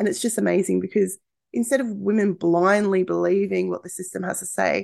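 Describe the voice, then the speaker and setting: Over a quiet background, a woman with an Australian accent talks at a fairly quick pace. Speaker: podcast host, birth coach. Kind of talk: casual solo monologue.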